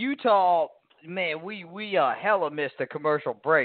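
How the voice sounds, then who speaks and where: A man talks in an ordinary speaking voice at a moderate pace. His pitch varies in an ordinary way. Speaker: sports radio co-host. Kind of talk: casual sports talk show banter.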